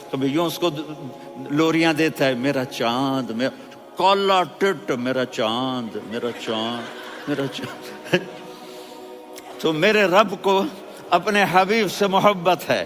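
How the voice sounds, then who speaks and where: Over background music, a man with a fairly high voice speaks in a passionate tone with very wide pitch swings. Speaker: Islamic preacher. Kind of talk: religious sermon (bayan). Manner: emotional, passionate, expressive.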